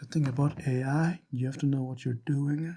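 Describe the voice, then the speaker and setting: A man with a non-native accent speaks at a moderate pace in a medium-pitched, somewhat breathy voice with a dark, mellow tone and monotone, flat intonation. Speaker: hobbyist game developer. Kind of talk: casual talk to camera.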